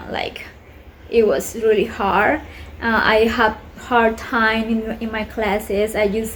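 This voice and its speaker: A woman's fairly high, monotone voice with flat intonation and a Colombian accent, at a very slow pace over noticeable background noise. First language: Spanish. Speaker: vlogger. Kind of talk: casual vlog talk. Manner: halting, many fillers.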